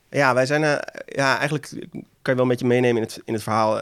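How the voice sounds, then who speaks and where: On a very clean recording with a silent background, a man at medium pitch speaks at a very fast pace. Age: 30s. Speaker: entrepreneur, former professional poker player. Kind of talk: interview. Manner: halting.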